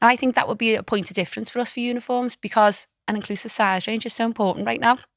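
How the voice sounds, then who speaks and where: Someone with a Liverpool accent talks at a very fast pace. The recording is very clean and dry, close with no echo and a silent background. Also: woman, fairly high pitch for a woman, fairly even intonation. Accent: Scouse. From Liverpool, England. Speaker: fashion designer. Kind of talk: podcast interview.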